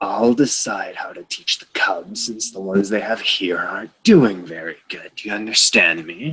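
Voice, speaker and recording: Growling in a put-on character voice, a man talks at a moderate pace and medium pitch with hardly any pauses. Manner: growling, menacing.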